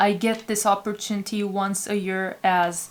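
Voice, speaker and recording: A woman with a non-native accent speaks at a moderate pace and medium pitch with monotone, flat intonation. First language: not English. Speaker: tarot reader. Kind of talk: tarot reading intro to camera.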